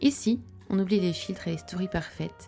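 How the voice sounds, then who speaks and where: The voice uses ordinary pitch variation. Music plays in the background. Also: woman. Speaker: podcast host. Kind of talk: podcast intro.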